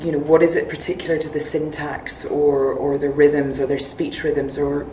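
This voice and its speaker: A woman with a Northern Irish accent speaks in a very deep, low pitch with monotone, flat intonation. Audible room echo and noticeable background noise fill the recording. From Northern Ireland. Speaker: magazine editor and poet. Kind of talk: interview. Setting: literary festival, during a break. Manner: hesitant, many fillers.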